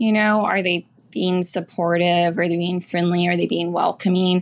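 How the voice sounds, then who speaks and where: Here a woman talks at a medium pitch and moderate pace. She has a plain, everyday voice, and the background is quiet. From Houston, Texas. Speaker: bank lender. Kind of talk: interview.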